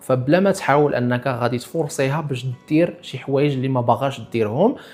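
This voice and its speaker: Music plays in the background as a man talks at a fairly quick pace in a medium pitch. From Morocco. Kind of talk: casual talk to camera.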